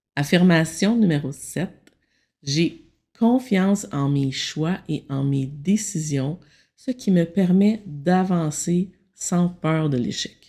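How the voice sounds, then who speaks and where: Calm in tone, a woman speaks at a very slow pace in a dark, mellow, somewhat breathy voice of fairly low pitch with lively intonation. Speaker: meditation guide and consultant. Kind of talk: self-help talk.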